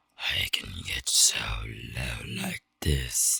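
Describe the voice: A man growls in a put-on character voice at a very deep, low pitch, with a dry, close sound and no echo.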